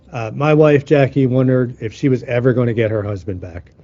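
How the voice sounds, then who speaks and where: With music in the background, a man talks, his pitch shifting in an ordinary way. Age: 60s. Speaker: healing teacher. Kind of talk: teaching talk.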